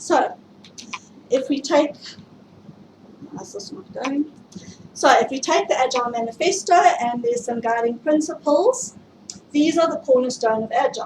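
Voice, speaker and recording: A woman with a South African accent speaks at a moderate pace in a high pitch, with lively intonation and big swings in loudness. Long, frequent pauses break her speech amid noticeable background noise. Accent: South African, often mistaken for Australian. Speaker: IT project management speaker. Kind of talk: tech meetup presentation. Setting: stage with audience, livestreamed.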